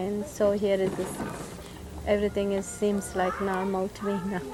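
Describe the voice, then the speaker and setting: A woman with an Indian accent, flat monotone intonation and a fairly quick pace, over noticeable background noise. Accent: Indian (Telugu). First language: Telugu. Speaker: Indian classical singer. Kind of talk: documentary interview. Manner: halting.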